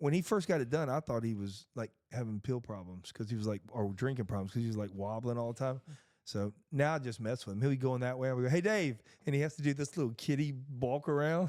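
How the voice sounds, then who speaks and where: Over a very clean recording with a silent background, a man with medium pitch speaks at a very fast pace in an animated tone with lively intonation. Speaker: podcast host. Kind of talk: casual chat. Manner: loud.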